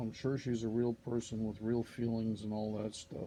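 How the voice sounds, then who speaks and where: Over music in the background, a man talks at a fairly quick pace with a medium pitch. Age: 60s. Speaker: vlogger. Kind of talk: casual monologue. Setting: at home.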